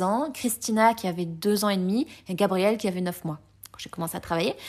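Recorded very cleanly against a silent background, a woman with an ordinary speaking voice talks at a medium pitch with ordinary pitch variation. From France (came from Colombia at age 3). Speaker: podcast guest. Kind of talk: casual chat.

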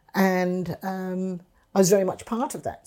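This woman has a dark, mellow tone and a fairly low pitch. She speaks at a moderate pace in a very clean recording with a silent background. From England. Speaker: retired politician. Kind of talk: interview. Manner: halting.

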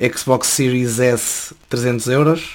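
A man at medium pitch talks with fairly even intonation. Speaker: journalism student. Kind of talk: casual chat.

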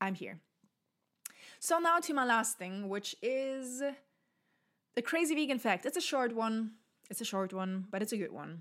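A woman with a German accent and a fairly high pitch speaks with very wide pitch swings and long, frequent pauses on a very clean recording with a silent background. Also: moderate pace. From southern Germany. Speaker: podcast host. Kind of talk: casual solo monologue. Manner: hesitant, many fillers.

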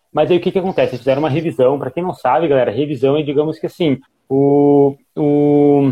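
Using an ordinary speaking voice, a man speaks fairly high with ordinary pitch variation. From Rio Grande do Sul, Brazil. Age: 20s. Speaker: fitness coach. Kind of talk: live stream discussion.

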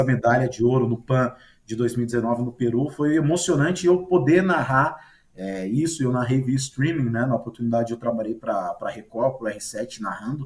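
His pitch sits in the medium range. There is a somewhat breathy quality to the man's voice. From Marília, interior of São Paulo state, Brazil. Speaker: sports commentator. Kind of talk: casual chat. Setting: video call.

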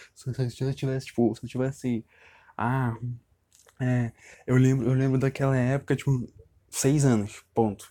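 In a very clean recording with a silent background, a man with a Brazilian accent speaks at a fairly slow pace and medium pitch, his dark, mellow tone set in monotone, flat intonation and broken by long, frequent pauses. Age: 20s. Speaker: podcaster. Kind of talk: personal monologue. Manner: halting; casual.

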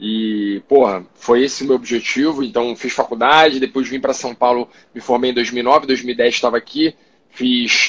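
A man with an unremarkable speaking voice talks at a moderate pace. His medium pitch stays fairly even. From Rio de Janeiro, Brazil. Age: 30s. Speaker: doctor and startup founder. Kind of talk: casual interview livestream. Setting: online live stream.

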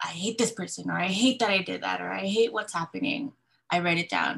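Speaking at a medium pitch, a woman talks with vocal fry. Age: 30s. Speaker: graphic designer, single mother. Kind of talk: casual chat.

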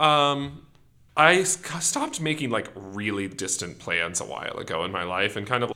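With an American accent, a man speaks in a bright, sharp tone while his pitch swings very widely. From US Pacific Northwest, rural Washington State. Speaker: law student. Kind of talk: interview. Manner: fast-paced.

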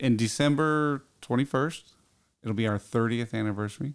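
Medium pitch from a man, a normal speaking voice at a moderate pace, with fairly even intonation on a very clean recording with a silent background. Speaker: guest, camp organizer. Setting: studio.

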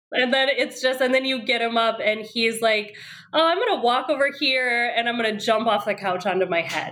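There is noticeable background noise as a woman with an American accent speaks at a moderate pace. Her voice is fairly high, with ordinary pitch variation. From Wisconsin. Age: 30s. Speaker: parent. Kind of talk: casual chat.

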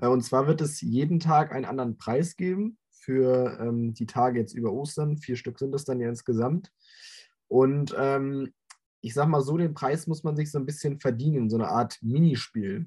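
At a moderate pace, a man speaks with a fairly high pitch, ordinary pitch variation and a dark, mellow, somewhat breathy tone. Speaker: football podcast co-host. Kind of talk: casual chat. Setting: video call.

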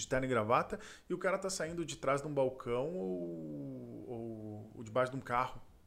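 This male voice sits in the middle of the pitch range. It leaps far up and down as he talks. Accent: southern Brazilian. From Porto Alegre, southern Brazil. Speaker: entrepreneur. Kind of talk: casual interview.

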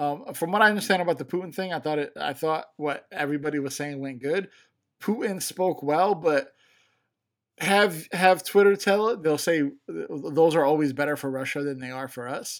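On a very clean recording with a silent background, a man with an American accent talks at a moderate pace in an ordinary speaking voice. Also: fairly high pitch for a man, ordinary pitch variation. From Chicago. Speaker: podcast co-host. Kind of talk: casual chat.

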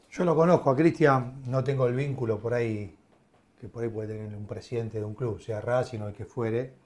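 A man talks at a fairly quick pace with a somewhat breathy voice of medium pitch. His loudness swings widely. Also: ordinary pitch variation. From Argentina, Avellaneda (Buenos Aires). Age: 50s. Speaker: former football club director. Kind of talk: casual chat.

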